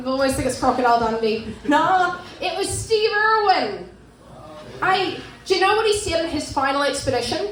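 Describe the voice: Big pitch swings mark this woman's high-pitched, fairly bright voice. She speaks at a moderate pace, with audible room echo.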